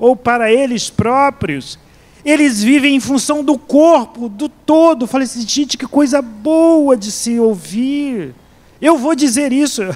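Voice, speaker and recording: At a very slow pace, a man talks in an extremely high pitch with ordinary pitch variation. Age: 60s. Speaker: pastor and seminary professor. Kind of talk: sermon. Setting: church. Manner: halting, with frequent repetitions.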